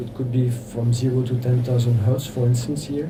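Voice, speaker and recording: A man with a French accent speaks at a medium pitch, with audible room echo and noticeable background noise. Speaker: electro-acoustic composer. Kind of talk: workshop lecture. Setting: workshop with audience. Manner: halting, many fillers.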